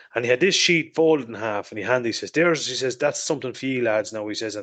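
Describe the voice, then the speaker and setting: Speaking at a very fast pace in an Irish accent, a man talks at medium pitch with ordinary pitch variation against a quiet background. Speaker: motorcycle podcast host. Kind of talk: casual chat.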